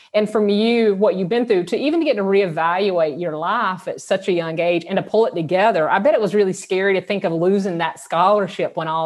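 Speaking with a Southern US accent, a woman keeps a fairly quick pace and ordinary pitch variation. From US South, South Georgia. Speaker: podcast host, sex therapist. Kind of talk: casual interview chat; scripted intro.

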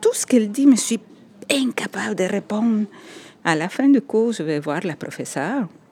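Lively intonation from a woman with a Spanish accent, medium in pitch, at a moderate pace. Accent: Spanish-accented French, rolled r. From El Salvador. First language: Spanish (speaking French). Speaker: architect and writer. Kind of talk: personal testimony. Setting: on location in Montreal.

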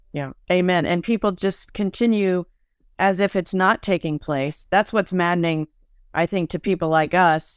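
Recorded very cleanly against a silent background, a normal speaking voice with fairly even intonation sounds dry and close with no echo. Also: woman. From Italian-American family. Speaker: podcast host. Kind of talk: interview.

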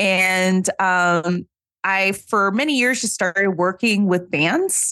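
Her tone is bright and sharp, at a medium pitch. The woman speaks against a quiet background. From New Orleans. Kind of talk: casual chat.

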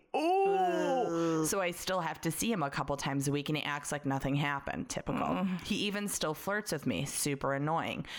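This woman has a very deep, low pitch. She speaks in an American accent. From Chicago, US Midwest. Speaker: podcast host. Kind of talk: casual chat, banter.

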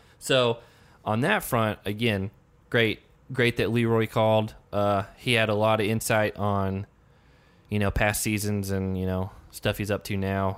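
Speaking with a slight Southern US accent, a man talks at a fairly low pitch. His pace is fairly slow and his intonation monotone and flat. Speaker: podcast host. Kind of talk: casual chat.

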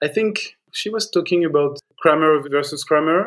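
Speaking with a French accent, a man talks at a moderate pace in a fairly high pitch with ordinary pitch variation. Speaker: film editor. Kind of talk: interview, casual. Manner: halting, hesitant with fillers.

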